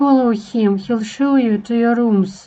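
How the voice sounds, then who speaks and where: In a put-on character voice, a woman with a fairly high pitch speaks at a fairly slow pace with fairly even intonation. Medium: machinima. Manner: polite, smooth, coaxing.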